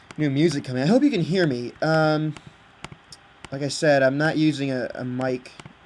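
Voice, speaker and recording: A man's moderately paced words, with ordinary pitch variation, carry over noticeable background noise. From Britain. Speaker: video game creator. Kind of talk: casual chat. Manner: halting, many fillers. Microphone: laptop built-in mic.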